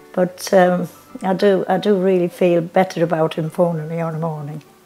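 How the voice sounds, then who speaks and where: Against faint background music, a woman with a fairly low pitch speaks at a moderate pace in a monotone, flat intonation. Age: 80s+. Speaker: service user interviewee. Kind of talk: interview answer. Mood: warm, content. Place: home room. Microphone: lapel.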